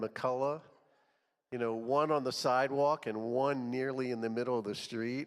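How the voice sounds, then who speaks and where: An unremarkable speaking voice from a man, medium in pitch with fairly even intonation. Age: 60s. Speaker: church group leader. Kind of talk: event introduction.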